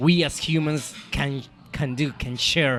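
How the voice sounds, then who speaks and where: Fairly even intonation from a man with a Spanish accent. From Colombia. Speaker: chef and restaurant owner. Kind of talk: interview conversation. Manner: halting, with repetitions.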